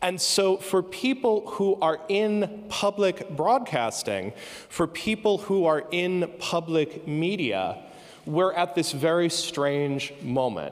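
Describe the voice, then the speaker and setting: Speaking very slowly in an American accent, a man has a high pitch. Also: ordinary pitch variation. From United States. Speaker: professor. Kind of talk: conference keynote talk. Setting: stage with audience. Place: stage. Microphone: handheld.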